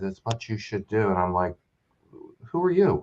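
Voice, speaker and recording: This man's voice has lively intonation and a somewhat breathy quality at a fairly quick tempo. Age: 60s. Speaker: filmmaker and comic writer. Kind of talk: casual chat. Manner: halting, many restarts.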